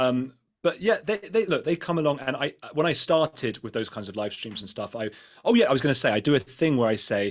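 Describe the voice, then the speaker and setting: A man speaks at a very fast pace with a British accent. The recording is very clean, with a silent background. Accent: British accent, liked by American viewers. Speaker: podcaster and YouTuber. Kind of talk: panel discussion. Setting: live event panel. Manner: fast, with frequent restarts.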